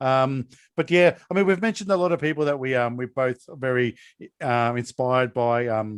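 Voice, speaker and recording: A man with an Australian accent at a medium pitch, ordinary pitch variation and a moderate pace, in a dry, close sound with no echo. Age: 40s. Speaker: podcast host. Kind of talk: casual chat.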